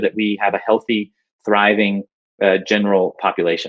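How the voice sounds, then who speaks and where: A man talks at a moderate pace and a medium pitch. He has a plain, everyday voice. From United States. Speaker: urban designer and engineer. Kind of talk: conference talk. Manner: frequent filler words (uh, um).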